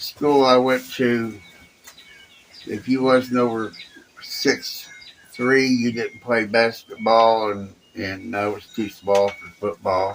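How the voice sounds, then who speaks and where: A man with an American accent speaks very slowly at a medium pitch, leaving long, frequent pauses, over noticeable background noise. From Indiana. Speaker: retired cosmetologist; army veteran. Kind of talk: interview answer.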